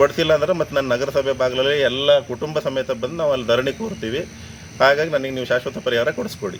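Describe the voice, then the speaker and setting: A man's fairly high voice, an ordinary speaking voice with ordinary pitch variation. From Sagar, Shivamogga district, Karnataka. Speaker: local resident complaining. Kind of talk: public complaint to camera.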